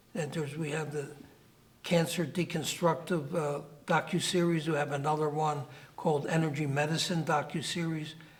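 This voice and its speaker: A man speaks with audible room echo. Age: 80s+. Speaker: dentist and natural medicine doctor. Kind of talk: interview.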